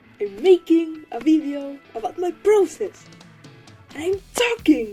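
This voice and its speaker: A woman with a Spanish accent, music in the background. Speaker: digital artist. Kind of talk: casual talk to camera. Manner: rambling, casual.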